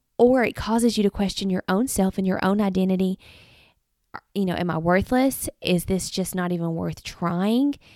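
A woman with a Southern US accent speaks at a moderate pace in a dark, mellow tone, with medium pitch and ordinary pitch variation. The recording is very clean with a silent background and a dry, close sound with no echo. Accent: US South. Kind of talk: devotional podcast monologue. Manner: halting.

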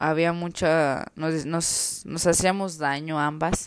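Very slow delivery with fairly even intonation, dry and close with no echo, over a silent background on a very clean recording. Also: woman. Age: 20s. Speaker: vlogger. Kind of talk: personal testimony. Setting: at home. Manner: casual, hesitant.

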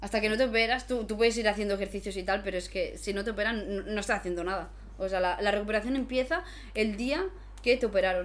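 Talking at a very fast pace, a woman uses vocal fry at a medium pitch with ordinary pitch variation. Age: 20s. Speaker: basketball player and content creator. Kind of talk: casual chat.

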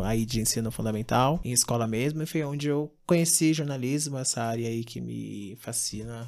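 Talking at a fairly quick pace, a man has an unremarkable speaking voice at medium pitch with ordinary pitch variation. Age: 20s. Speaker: podcast co-host, journalist. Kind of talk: casual chat.

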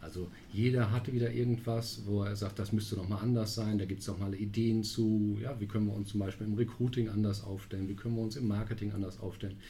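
A man's fairly low voice in a flat monotone, rushing very fast with hardly any pauses, amid audible room echo and noticeable background noise. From Münster, western Germany. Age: 40s. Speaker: strategy consulting partner. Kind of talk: podcast interview. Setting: studio, sitting across from host.

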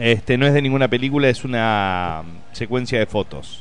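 A man does the talking. His pitch is medium. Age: 30s. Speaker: comedian. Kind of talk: casual chat.

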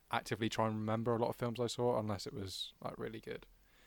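Here is a man with a British accent and a fairly low pitch. The recording is very clean, the background silent. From UK. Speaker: film podcast co-host. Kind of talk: casual chat.

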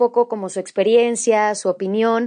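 A woman speaks with a Mexican accent at a fairly high pitch. Her tone is dark and mellow, and the background is quiet. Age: 20s. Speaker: podcast host. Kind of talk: solo monologue podcast.

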